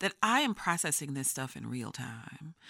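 The recording is very clean, its background silent. In it, a woman talks with an American accent. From Texas. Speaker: professor. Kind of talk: casual chat.

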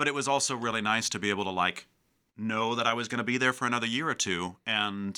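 A man's fairly low, bright and sharp voice at a very fast pace, fairly even in intonation, on a very clean recording with a silent background. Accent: Chicago. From US Midwest, Chicago south suburbs. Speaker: university choral director. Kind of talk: casual interview. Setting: radio studio.

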